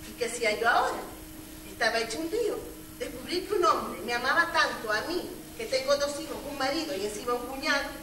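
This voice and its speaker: A woman's raised, projected voice at a fairly quick pace over noticeable background noise. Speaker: stage actor. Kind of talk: theatrical monologue. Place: stage. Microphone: camera far.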